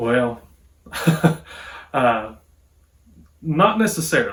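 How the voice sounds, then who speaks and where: A man talks with an Appalachian accent. His pitch varies in an ordinary way. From Appalachia, southwest Virginia. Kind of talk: casual talk to camera.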